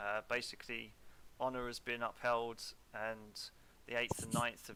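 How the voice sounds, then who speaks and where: The voice has a bright, sharp tone and monotone, flat intonation. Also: man. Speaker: wargame umpire. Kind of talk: casual game organizing chat.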